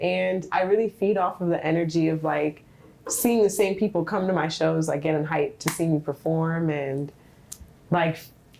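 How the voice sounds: Soft-spoken and low-pitched, a woman talks at a moderate pace with a slightly mellow tone and ordinary pitch variation.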